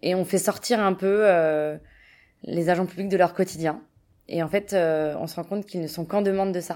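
At a moderate pace with long, frequent pauses, a woman speaks at a medium pitch and fairly even intonation. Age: 20s. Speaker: open data project manager. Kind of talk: interview.

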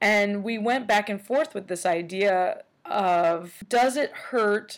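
A woman speaks at a fairly slow pace in an ordinary speaking voice, her pitch medium, on a very clean recording with a silent background. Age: 30s. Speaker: podcast host and artist. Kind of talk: casual interview chat.

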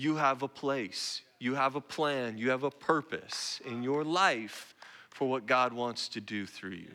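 A man with an American accent at a very slow pace. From Oregon, US Northwest. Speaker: guest pastor. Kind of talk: sermon. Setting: church.

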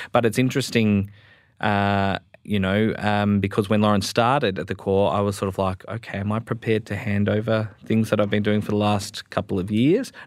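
In a very clean recording with a silent background, a man with an Australian accent talks at a fairly quick pace with a fairly low pitch and monotone, flat intonation. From Melbourne, Australia. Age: 20s. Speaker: Salvation Army officer. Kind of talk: panel discussion. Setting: studio.

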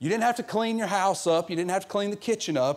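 A man with a Southern US accent and lively intonation. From US South. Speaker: guest preacher filling in for the pastor. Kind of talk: sermon. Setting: church service with congregation.

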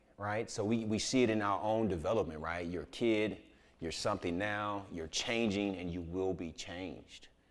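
A plain, everyday voice from a man at a fairly low pitch, with a moderate pace and fairly even intonation. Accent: American. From Houston, Texas (inner city). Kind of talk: sermon.

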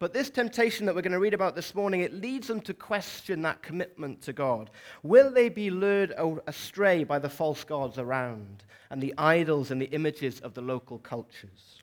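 A man with a Welsh accent talks at a moderate pace in a high pitch, making very wide pitch swings. The recording is very clean, with a silent background. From South Wales. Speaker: preacher. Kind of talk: sermon. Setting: church.

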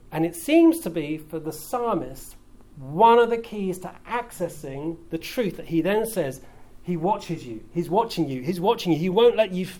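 A British accent with lively intonation, a dark, mellow tone, big swings in loudness and a moderate pace. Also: man. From UK. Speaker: pastor. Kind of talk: sermon.

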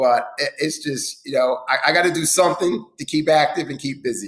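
Using a plain, everyday voice, a man with an American accent speaks at a fairly high pitch with ordinary pitch variation. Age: 50s. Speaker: affordable housing developer. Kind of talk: interview. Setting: at home, remote.

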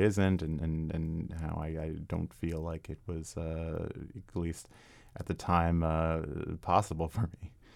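Someone speaks in an American accent on a very clean recording with a silent background. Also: man. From Arlington, Virginia. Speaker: singer-songwriter and keyboard player. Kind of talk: radio interview. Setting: radio studio. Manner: halting, many repetitions and fillers.

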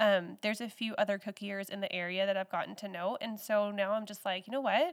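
A woman with a normal speaking voice talks at a medium pitch and moderate pace on a very clean recording with a silent background. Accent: American. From Texas. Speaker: home baker and small business owner. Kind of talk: interview.

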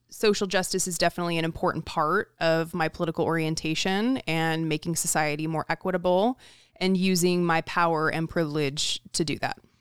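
A woman with an American accent and an unremarkable speaking voice talks at a fairly quick pace with hardly any pauses, her pitch fairly low and her intonation fairly even. The recording is very clean, with a silent background and a dry, close sound with no echo. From Southern California and northern Idaho. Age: 30s. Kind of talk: podcast interview.

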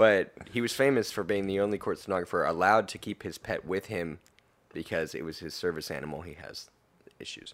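A man with an unremarkable speaking voice talks at a fairly quick pace. His pitch is fairly low, with ordinary pitch variation. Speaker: podcast guest. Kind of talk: casual chat.

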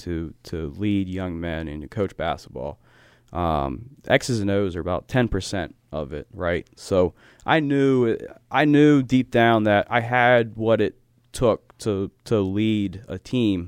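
A man's unremarkable speaking voice, fairly low in pitch, with lively intonation at a fairly slow pace, in a dry, close sound with no echo. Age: 20s. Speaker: basketball coach and sportswriter. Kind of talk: casual interview.

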